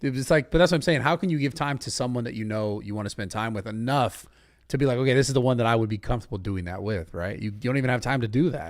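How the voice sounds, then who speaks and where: A man's medium-pitched voice, very fast, with lively intonation. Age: 30s. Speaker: interviewer. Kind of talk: casual interview chat. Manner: casual.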